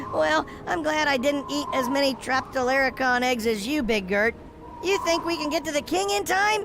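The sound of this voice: A cartoonish character voice with high pitch and moderate pace, plus clear background noise.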